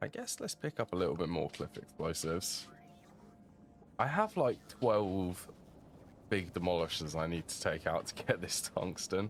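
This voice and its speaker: Over music in the background, a man with a British accent speaks in a very deep, low pitch with ordinary pitch variation. His pace is moderate, broken by long, frequent pauses. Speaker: video game streamer. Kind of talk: gameplay commentary. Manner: casual, thinking aloud.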